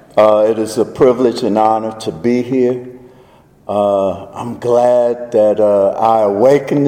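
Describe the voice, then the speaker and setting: Noticeable background noise sits behind a man talking at a fairly slow pace. He has a strong Southern US accent. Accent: deepest Southern drawl. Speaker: faith advocacy speaker. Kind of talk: public speech. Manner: slow-paced normally, speeding up here.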